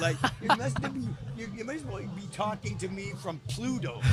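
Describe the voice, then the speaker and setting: Music plays in the background as a man speaks with lively intonation amid audible room echo. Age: 60s. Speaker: magician. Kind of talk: casual chat. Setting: outdoor festival booth.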